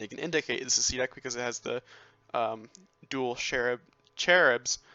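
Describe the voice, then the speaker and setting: Music sits in the background as the speech moves at a moderate pace. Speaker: video game builder showing a build. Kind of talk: tutorial-style walkthrough. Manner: halting, many fillers.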